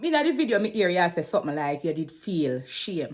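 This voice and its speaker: A woman speaks with a Jamaican accent at a medium pitch. Her tone is animated. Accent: Jamaican Patois. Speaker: gossip commentator. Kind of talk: commentary monologue. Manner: fast when agitated.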